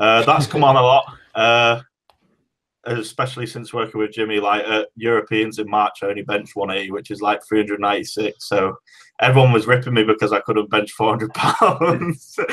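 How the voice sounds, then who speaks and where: On a very clean recording with a silent background, a man with an English accent talks at medium pitch and a fairly quick pace with ordinary pitch variation. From Great Britain. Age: 20s. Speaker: powerlifter. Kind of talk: podcast interview.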